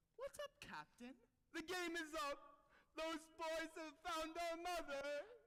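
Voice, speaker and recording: The voice is a put-on character voice, pitched extremely high. It moves at a fairly slow pace. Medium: stage play. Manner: gruff.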